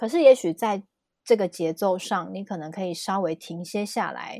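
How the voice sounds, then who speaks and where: A woman speaks in a dark, mellow tone. The sound is dry and close with no echo, in a very clean recording with a silent background. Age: 30s. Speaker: numerology teacher. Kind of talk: casual explanatory chat.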